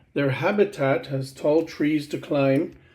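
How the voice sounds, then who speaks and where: Pitch variation is ordinary. Music plays in the background. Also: man. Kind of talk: children's book read aloud.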